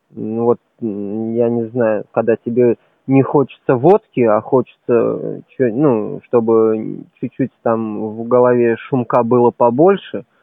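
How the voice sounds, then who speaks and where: The man talks very slowly, his pitch staying medium. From Uzbekistan. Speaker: former athlete. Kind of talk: casual chat.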